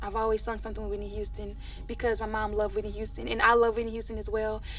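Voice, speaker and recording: There is audible room echo as a woman speaks in an American accent. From Texas, Dallas (Oak Cliff). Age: 20s. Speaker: R&B singer. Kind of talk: interview.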